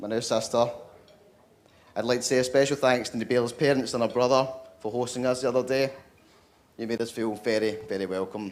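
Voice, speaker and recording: A man with a strong Scottish accent, medium pitch and fairly even intonation. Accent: Scottish, thick. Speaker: brother of the groom giving wedding speech. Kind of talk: wedding speech. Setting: wedding reception.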